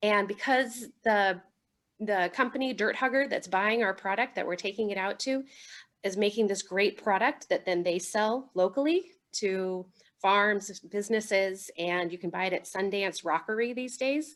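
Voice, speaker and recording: Her voice is an ordinary speaking voice, pitched in the medium range with ordinary variation, as a woman talks at a moderate pace. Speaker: city solid waste and recycling staff. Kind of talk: presentation at online neighborhood meeting.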